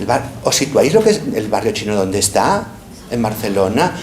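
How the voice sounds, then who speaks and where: Against noticeable background noise and audible room echo, a man talks at a moderate pace with very wide pitch swings. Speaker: professor. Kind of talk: lecture.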